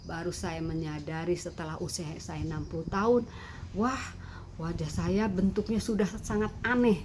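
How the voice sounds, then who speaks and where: At a moderate pace, a woman speaks at medium pitch with lively intonation. Audible room echo surrounds her voice. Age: 60s. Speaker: beauty content creator. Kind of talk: tutorial. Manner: halting.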